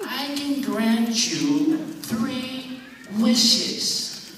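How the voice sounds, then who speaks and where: A man puts on a character voice pitched extremely high, with a strong echo and clear background noise. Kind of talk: comic overacting. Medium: stage play. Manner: mock-grand, teasing.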